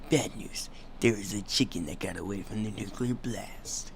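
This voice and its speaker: A man puts on a character voice pitched fairly low. Clear background noise can be heard behind him. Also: moderate pace. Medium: machinima. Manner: bossy, commanding.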